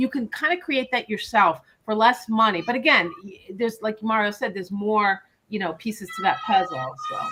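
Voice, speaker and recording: A woman speaks at a fairly quick pace with a New York accent, her fairly high voice carrying lively intonation. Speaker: financial advisor, podcast co-host. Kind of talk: live Q&A webinar podcast.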